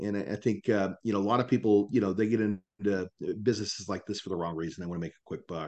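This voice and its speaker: A fairly low-pitched man with an American accent, at a very fast pace. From Kansas. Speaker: mortgage company leader. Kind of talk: podcast interview.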